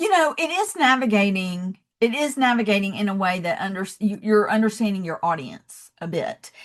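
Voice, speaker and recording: A woman in a Southern US accent talks at a moderate pace and fairly high pitch, with lively intonation and hardly any pauses. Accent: Southern American. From US South, Georgia. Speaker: love and leadership speaker, founder. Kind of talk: podcast interview.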